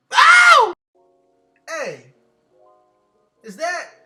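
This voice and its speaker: With music in the background, a man speaks very slowly in a raised, projected voice at an extremely high pitch. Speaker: comedic voiceover narrator. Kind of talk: comedic voiceover of hair tutorial. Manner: casual, joking.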